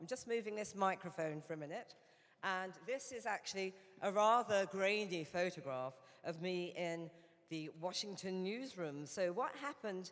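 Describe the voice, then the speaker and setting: A woman with a British accent, medium pitch, lively intonation and a moderate pace. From England. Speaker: Rotary director and former journalist. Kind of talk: conference speech. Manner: hesitant, many fillers.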